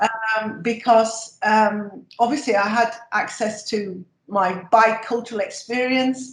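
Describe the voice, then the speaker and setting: A somewhat breathy woman's voice, fairly high in pitch, monotone and flat, at a very slow pace with hardly any pauses. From northern England, Sheffield. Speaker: emeritus professor of nursing. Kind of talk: interview.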